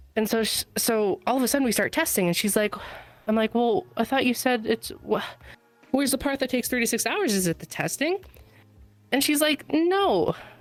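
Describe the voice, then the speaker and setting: Over music in the background, the speaker moves at a fairly quick pace with very wide pitch swings. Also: woman, high pitch for a woman. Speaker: stranger chatting on a podcast. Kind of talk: casual chat. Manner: halting, many fillers.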